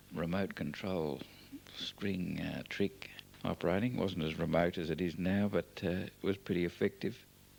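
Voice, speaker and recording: Here a man speaks with an Australian accent in a very deep, low voice. His pace is moderate, and his pitch varies in an ordinary way. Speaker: family member narrating home movies. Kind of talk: oral history commentary. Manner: hesitant, many fillers.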